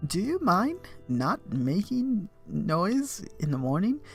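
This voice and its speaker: A man puts on a high-pitched character voice with very wide pitch swings. He speaks very slowly over clear background music. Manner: annoyed, scolding.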